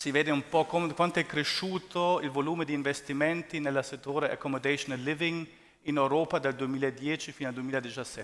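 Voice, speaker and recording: A man with a non-native accent speaks at a moderate pace. His pitch is fairly high and his intonation fairly even. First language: not Italian (speaking Italian). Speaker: real estate investment executive. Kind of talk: conference presentation. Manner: halting. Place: hall. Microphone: headset.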